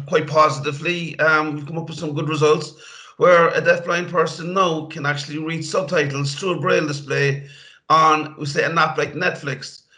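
Through noticeable background noise, a man with a Cork accent speaks at a fairly high pitch with monotone, flat intonation. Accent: Cork Irish. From Ireland, Cork. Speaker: IT trainer for blind people. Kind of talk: interview.

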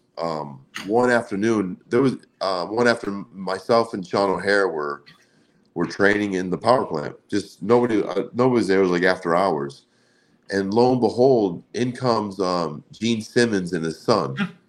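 In an American accent, a man talks at a moderate pace with fairly low pitch, ordinary pitch variation, and a normal speaking voice. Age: 40s. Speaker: former pro wrestler and card collector. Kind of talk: casual interview.

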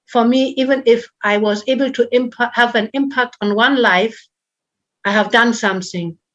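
Speaking with a German accent, a woman at a fairly high pitch talks at a fairly slow pace with ordinary pitch variation. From northern Germany. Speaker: charity founder. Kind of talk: interview.

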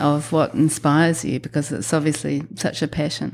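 A woman's very deep, low voice with a New Zealand accent, fairly even intonation and a moderate pace. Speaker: podcast host. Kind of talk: interview.

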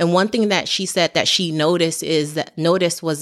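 Speaking at a moderate pace, a woman has a very deep, low pitch. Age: 30s. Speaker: podcast co-host, healthcare student. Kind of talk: casual chat.

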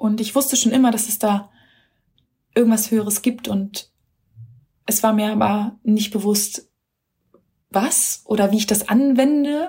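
Over long, frequent pauses, a woman with a fairly high pitch and a dark, mellow tone sounds somewhat breathy, her intonation fairly even. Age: 30s. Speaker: mother of three, course graduate. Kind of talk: recorded voice memo testimony. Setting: self-recorded voice message.

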